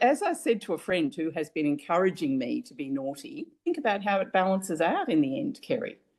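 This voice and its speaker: With an Australian accent, a woman speaks at a fairly quick pace. Her medium-pitched voice has very wide pitch swings. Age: 70s. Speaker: family caregiver. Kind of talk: interview testimony.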